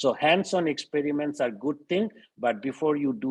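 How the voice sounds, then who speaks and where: A man speaks at a moderate pace with lively intonation, in an unremarkable speaking voice. The sound is dry and close, with no echo. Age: 60s. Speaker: professor. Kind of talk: webinar Q&A.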